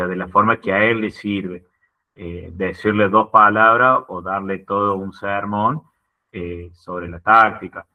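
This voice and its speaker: This man speaks at a fairly slow pace with a fairly low pitch, fairly even intonation and big swings in loudness. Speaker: football coach. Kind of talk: group discussion.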